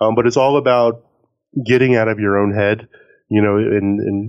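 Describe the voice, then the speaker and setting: A man speaks with fairly even intonation. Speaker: car podcaster. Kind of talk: interview. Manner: soft-spoken; halting.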